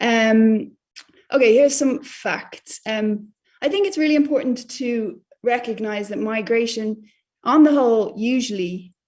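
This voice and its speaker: A woman speaks in a fairly high, somewhat breathy voice. Her pitch varies in an ordinary way, and her pace is moderate. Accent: Irish. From Ireland. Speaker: journalist. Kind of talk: lecture. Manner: hesitant with many fillers.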